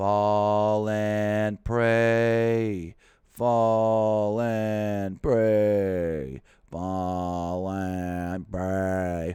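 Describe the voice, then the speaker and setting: A man puts on a character voice, pitched fairly low. He speaks at a very slow pace. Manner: flat, lifeless drone.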